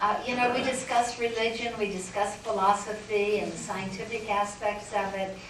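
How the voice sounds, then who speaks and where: Against noticeable background noise and audible room echo, a woman with an American accent speaks at a fairly high pitch in a monotone, flat intonation. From northern Michigan, US. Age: 70s. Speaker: spiritualist medium. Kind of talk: talk with audience Q&A. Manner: halting.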